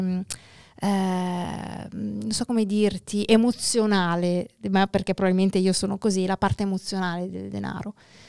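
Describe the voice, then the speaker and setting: A woman of medium pitch speaks at a fairly slow pace with monotone, flat intonation, in a very clean recording with a silent background and a dry, close sound with no echo. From northern Italy, near Milan (Lombardy). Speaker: entrepreneur, real estate investor and NLP practitioner. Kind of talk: casual interview.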